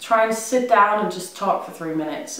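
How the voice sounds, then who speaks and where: A woman with a Danish accent and a fairly high pitch speaks at a moderate pace amid noticeable background noise and audible room echo. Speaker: vlogger. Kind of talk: casual vlog monologue. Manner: hesitant, many ums.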